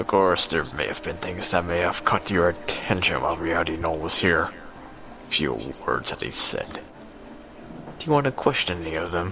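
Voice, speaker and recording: A man puts on a character voice with a very deep, low pitch, at a moderate pace. Long, frequent pauses break it up over clear background noise. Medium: actual play. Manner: calm, smug.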